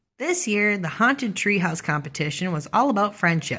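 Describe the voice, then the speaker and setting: Squeaky, female-sounding put-on character voice at a medium pitch and a moderate pace. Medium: read story.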